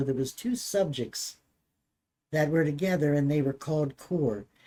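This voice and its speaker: This woman has an American accent and a very deep, low pitch with a dark, mellow tone. She speaks at a moderate pace with lively intonation. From Maryland, US. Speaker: grandmother interviewed by grandchild. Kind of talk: casual family interview. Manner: halting.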